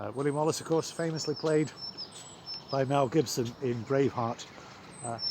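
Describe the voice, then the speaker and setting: Fairly even intonation is broken by long, frequent pauses, over noticeable background noise. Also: man, moderate pace. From Scotland (Ayrshire). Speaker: vicar. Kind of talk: vlog, casual talk to camera. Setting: outdoors. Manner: hesitant, many fillers.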